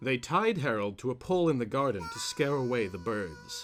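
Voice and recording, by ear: Natural-voiced reading aloud full of lively intonation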